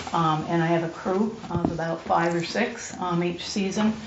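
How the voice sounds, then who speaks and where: Noticeable background noise sits behind a woman's fairly low voice. She speaks fairly slowly, her intonation fairly even. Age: 60s. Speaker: mental health recovery speaker and landscaper. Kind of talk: personal testimony to a group. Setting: group room. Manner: halting, full of fillers.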